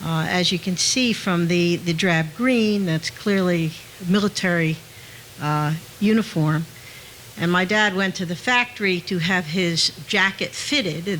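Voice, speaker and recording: A woman speaks at medium pitch and a fairly slow pace. Noticeable background noise runs underneath. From New Jersey, Hamilton. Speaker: audience speaker. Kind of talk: public talk. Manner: halting.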